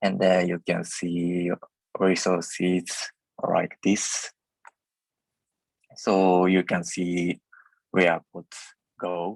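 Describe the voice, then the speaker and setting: A man with a non-native accent and a very deep, low pitch speaks at a very slow pace with long, frequent pauses and monotone, flat intonation. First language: not English. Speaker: software engineer. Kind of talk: technical presentation. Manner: halting, many fillers.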